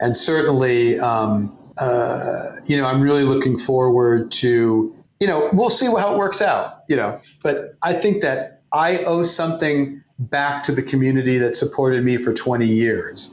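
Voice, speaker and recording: A man's fairly high voice at a fairly slow pace, with lively intonation and very even loudness. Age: 60s. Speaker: former magazine editor and guitarist. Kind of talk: interview. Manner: animated.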